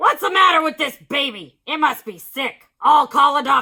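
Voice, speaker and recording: A put-on character voice, high and raspy, comes in raised and projected at a moderate pace. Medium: read story. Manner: loud, bossy.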